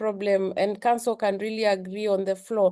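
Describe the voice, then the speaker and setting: The intonation is monotone and flat, with a dark, mellow tone. The background is quiet. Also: woman. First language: not English. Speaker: secretary general of a regional community. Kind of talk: parliamentary address. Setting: legislative assembly plenary. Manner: soft-spoken; hesitant, many fillers.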